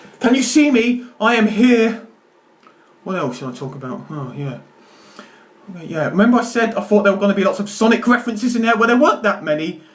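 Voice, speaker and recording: A man talks at a very fast pace with a high pitch and lively intonation. His loudness swings widely, and the room echo is audible. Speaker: YouTuber. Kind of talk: film review monologue. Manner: stammering.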